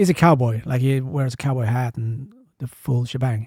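A somewhat breathy male voice of medium pitch, dark and mellow in tone, at a moderate pace in a dry, close sound with no echo. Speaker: agency CEO and street photographer. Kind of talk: casual chat.

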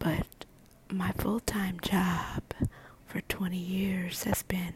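A woman whispers while noticeable background noise plays behind her. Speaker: ASMR podcaster and medical assistant. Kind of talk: ASMR whispering. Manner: whispering, soft-spoken; nervous.

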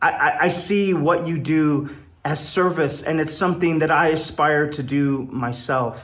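In an American accent, a man speaks at a fairly slow pace and a fairly high pitch with fairly even intonation. Audible room echo surrounds his voice. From Wyoming, US. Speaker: poet and improv comedian. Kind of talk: recorded personal message.

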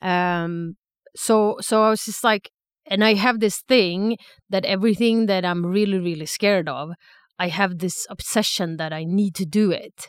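A woman with a Swedish accent, medium pitch, fairly even intonation and a fairly slow pace, in a dry, close sound with no echo. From Sweden, Stockholm. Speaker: aspiring stand-up comedian. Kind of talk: casual chat. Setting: studio.

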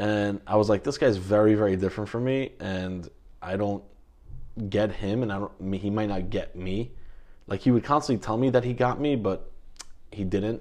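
Over a quiet background, a man with an American accent talks at a moderate pace, taking long, frequent pauses. His pitch is fairly low, with ordinary pitch variation. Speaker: podcast guest talking about therapy. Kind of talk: casual interview. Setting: recorded at home. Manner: halting, many fillers.

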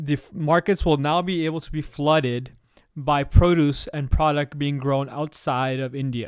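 Recorded very cleanly against a silent background, a man talks at a fairly high pitch with fairly even intonation. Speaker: podcast host. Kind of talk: solo commentary. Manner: fast.

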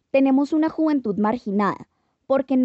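The woman talks fairly quickly. Lively intonation marks her delivery. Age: 20s. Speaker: podcast host. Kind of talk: scripted narration.

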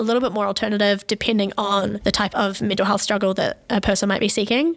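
A woman is speaking. Her pitch is fairly high. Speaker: podcast co-host. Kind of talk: casual chat. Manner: fast; animated.

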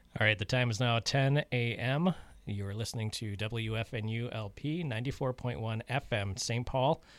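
Speaking at a moderate pace, a man with a normal speaking voice uses medium pitch and ordinary pitch variation on a very clean recording with a silent background. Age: 40s. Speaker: community radio host. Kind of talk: radio announcements and weather reading; casual radio chat. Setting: radio studio.

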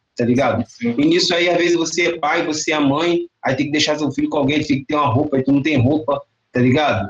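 In a Rio de Janeiro accent, a man talks at a very fast pace with ordinary pitch variation. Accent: Rio de Janeiro (carioca) Portuguese. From Duque de Caxias, Baixada Fluminense, Rio de Janeiro. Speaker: MC and musician. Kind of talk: casual interview chat. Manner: slangy, relaxed street speech.

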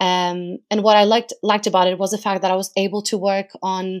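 A woman speaks at a fairly quick pace with a Portuguese accent, on a very clean recording with a silent background. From Portugal. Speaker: research analyst. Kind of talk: interview.

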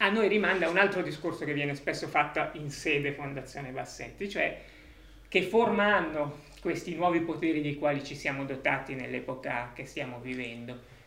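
Noticeable background noise sits behind a man speaking at a moderate pace. His pitch is fairly high with ordinary variation. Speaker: foundation representative introducing event. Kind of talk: welcome introduction.

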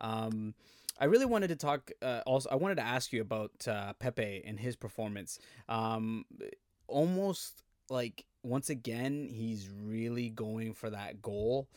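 An unremarkable speaking voice from a man, medium-pitched with ordinary pitch variation, comes at a fairly slow pace on a very clean, silent-background recording with a dry, close sound and no echo. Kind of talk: podcast hosting. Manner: upbeat, friendly.

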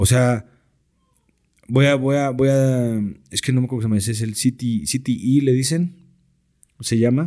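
Speaking at a moderate pace with long, frequent pauses, a man uses a medium pitch, fairly even intonation and a dark, mellow tone. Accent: Mexican. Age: 30s. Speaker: sports broadcaster and American football coach. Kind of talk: casual chat.

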